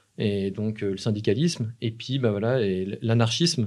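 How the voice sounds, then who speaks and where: A man's medium-pitched voice at a fairly slow pace with ordinary pitch variation, against a quiet background. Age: 30s. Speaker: filmmaker, musician and anarchist activist; podcast guest. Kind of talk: casual interview. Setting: live stream with chat. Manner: halting, many hesitations. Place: studio. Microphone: studio mic.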